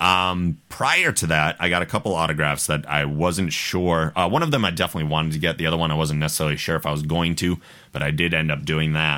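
On a very clean recording with a silent background, a man with a very deep, low pitch and a bright, sharp tone talks at a fairly quick pace with fairly even intonation. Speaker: podcast host. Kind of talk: casual chat. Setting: studio.

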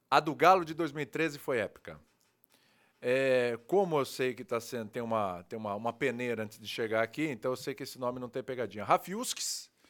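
In a very clean recording with a silent background, a man with an ordinary speaking voice talks at medium pitch, his intonation lively and his loudness swinging widely. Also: moderate pace. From Brazil, Santos (São Paulo state). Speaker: sports TV host. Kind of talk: casual chat.

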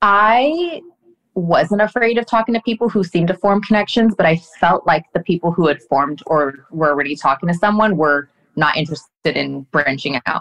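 A woman with an unremarkable speaking voice, fairly low in pitch, talks at a moderate pace with lively intonation and very even loudness. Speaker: reality TV contestant. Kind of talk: casual chat.

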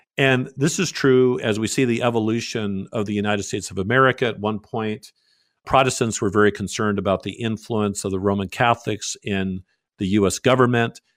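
A man's fairly low voice at a fairly quick pace, an ordinary speaking voice with fairly even intonation, on a very clean recording with a silent background. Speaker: pastor. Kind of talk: radio interview.

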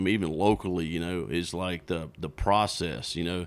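A man talks at a moderate pace with a Southern US accent. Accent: Southern US (Georgia). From South Georgia, US. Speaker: fly shop owner and fishing guide. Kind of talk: casual interview. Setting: in person at his fly shop.

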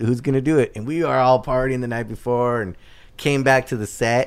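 An unremarkable speaking voice with an American accent at a moderate pace. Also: man. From Southern California, South Bay (Torrance). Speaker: restaurant owner. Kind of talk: casual chat.

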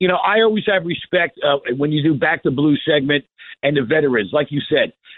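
A man talks at a fairly quick pace with lively intonation. He has an ordinary speaking voice. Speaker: caller. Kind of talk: phone-in call. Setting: phone call. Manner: sarcastic.

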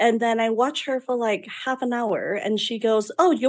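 A woman with a Vietnamese accent. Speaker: beauty business owner. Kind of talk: interview storytelling. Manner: outspoken.

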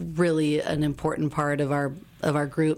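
In an American accent, a woman speaks at a fairly slow pace. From Wisconsin. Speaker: shared kitchen founder. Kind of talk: casual interview.

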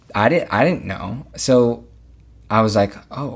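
A man with an American accent speaks in an unremarkable speaking voice at medium pitch with ordinary pitch variation, on a very clean recording with a silent background. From Los Angeles area, California. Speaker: musical theatre actor. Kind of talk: casual interview chat.

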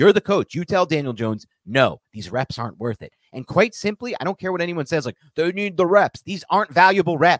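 A man shouts in a high voice with lively intonation. His pace is fairly quick. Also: dry, close sound with no echo. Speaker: podcast host, football commentator. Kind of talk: angry rant, heated sports talk. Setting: live stream. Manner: yelling, exasperated, emphatic; repetitive, forceful, outraged.

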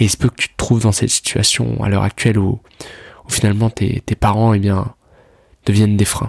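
A man's fairly low, monotone voice, fairly quick yet broken by long, frequent pauses, in a dry, close sound with no echo. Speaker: self-improvement podcaster. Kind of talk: casual monologue. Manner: halting, repeats words.

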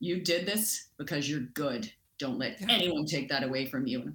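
A put-on character voice booms out at low-to-middle pitch. The pace is moderate. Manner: encouraging.

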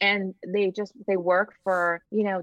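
This is a woman's voice. Its pitch sits in the medium range. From Nicaragua, raised in South Texas. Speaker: model, actress and TV host. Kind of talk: casual interview chat. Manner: animated.

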